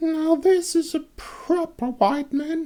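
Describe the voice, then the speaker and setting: A put-on character voice, squeaky and raspy, pitched extremely high. It moves at a very slow pace. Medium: read story.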